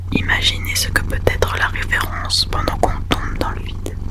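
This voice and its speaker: A woman whispers at a fairly slow pace over noticeable background noise. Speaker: ASMR creator. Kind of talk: whispered audiobook reading for sleep (ASMR). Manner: whispered, soft, slow.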